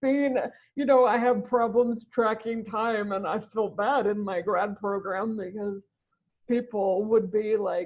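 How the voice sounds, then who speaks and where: A woman with an ordinary speaking voice talks at a fairly slow pace and a fairly high pitch, keeping her intonation fairly even. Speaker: ECT survivor and brain injury advocate. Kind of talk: interview answer. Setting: recorded interview call.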